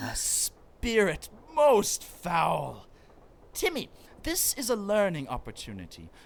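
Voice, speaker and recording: The voice is a put-on character voice. It is fairly high in pitch and moves at a fairly slow pace. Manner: pompous, theatrical.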